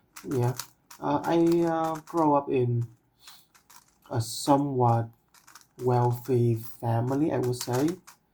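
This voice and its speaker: Very slow delivery with long, frequent pauses, in a Vietnamese accent. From Vietnam, Ho Chi Minh City. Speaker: cubing vlogger. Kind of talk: casual monologue. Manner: halting, many fillers.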